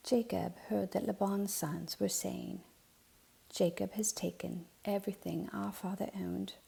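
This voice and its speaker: The voice is soft-spoken and calm in tone, moving at a fairly slow pace. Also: woman. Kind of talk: soft-spoken ASMR Bible reading. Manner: soft-spoken, calm.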